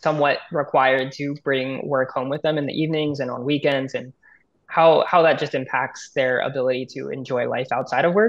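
A man with an American accent at a moderate pace, against a quiet background. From Northern California. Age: 20s. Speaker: government intern; guest. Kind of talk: webinar panel discussion. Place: home room. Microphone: video call.

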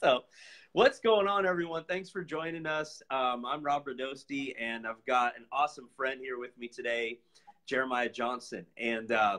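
With big swings in loudness, a man speaks at a moderate pace in a bright, sharp tone with ordinary pitch variation over a quiet background. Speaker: livestream host. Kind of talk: casual livestream chat. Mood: upbeat, relieved. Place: home room. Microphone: phone near.

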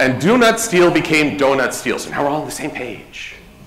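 A man speaks at a moderate pace. Light background noise and audible room echo surround him. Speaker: convention panel host. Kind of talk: presentation to live audience. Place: hall.

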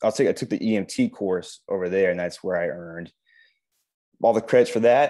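Speaking at a moderate pace with an American accent, a man leaves long, frequent pauses. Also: quiet background. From US West Coast, San Francisco Bay Area. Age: 30s. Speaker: firefighter. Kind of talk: career talk interview on video call. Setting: video call. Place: home room. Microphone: earbuds.

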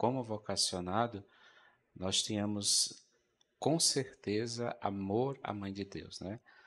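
Fairly low in pitch, a man speaks at a very slow pace. His pitch varies in an ordinary way. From Brazil, Rio Grande do Norte (Currais Novos); Rio Grande do Norte, Brazil. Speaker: Augustinian friar, religious TV presenter; TV presenter. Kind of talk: religious talk show discussion. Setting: studio. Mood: calm, earnest. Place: studio. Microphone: handheld.

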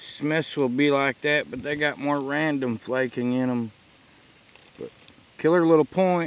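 The recording is dry, without any echo. A man talks at a fairly slow speed. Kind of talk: casual vlog chat. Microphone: phone near.

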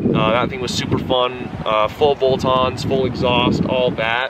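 Fairly slow male speech beneath loud background noise. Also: dry sound with no echo. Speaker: car vlogger. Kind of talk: casual vlog chat. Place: street. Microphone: camera far.

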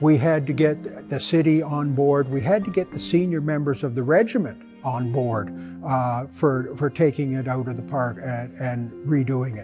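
Clear music plays behind a man talking at a moderate pace. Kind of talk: interview answer. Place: workshop.

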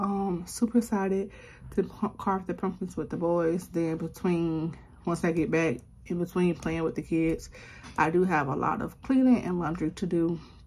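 A woman speaks at a fairly low pitch with ordinary pitch variation. Her voice is somewhat breathy. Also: moderate pace. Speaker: vlogger mom. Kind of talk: casual vlog chat. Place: home room. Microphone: phone near.

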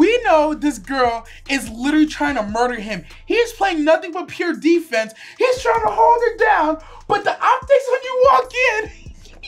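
A woman speaks at an extremely high pitch and a moderate pace. Faint music plays in the background. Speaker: reaction channel co-host. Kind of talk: casual commentary chat. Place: home room.

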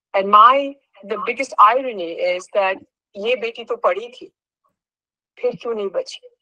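A woman's fairly high voice with lively intonation and big swings in loudness, against a quiet background. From Kolkata, India. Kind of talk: heartfelt statement at a virtual meeting. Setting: video call. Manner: earnest, code-switching Bengali and English. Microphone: video call.

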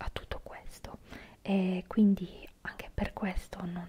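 Fairly slow speech over light background noise. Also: woman. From Italy. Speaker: ASMR creator. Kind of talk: ASMR whispered talk to camera. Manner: whispered, soft-spoken. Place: home room. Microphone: studio mic.

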